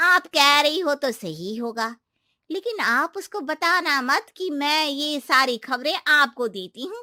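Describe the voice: In a very clean recording with a silent background and a dry, close sound with no echo, a cartoonish character voice with a bright, sharp tone and lively intonation moves at a slow pace. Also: woman, high pitch for a woman.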